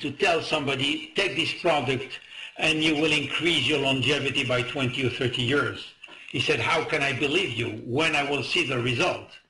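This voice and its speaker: There is noticeable background noise and audible room echo. A man speaks at a moderate pace, with fairly high pitch and very even loudness. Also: ordinary pitch variation. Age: 70s. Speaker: medical advisor. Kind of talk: webinar interview. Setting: webinar. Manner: halting.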